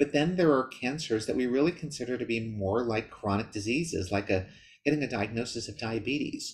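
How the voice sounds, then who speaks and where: A man's somewhat breathy voice at a fairly quick pace, with ordinary pitch variation over light background noise. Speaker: presenter. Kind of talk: lecture. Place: home room. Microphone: webcam.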